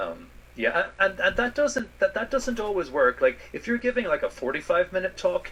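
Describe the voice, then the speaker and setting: A man with an American accent at a moderate pace, music playing behind him. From Ireland. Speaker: space scientist. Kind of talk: interview answer. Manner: hesitant, some repetitions.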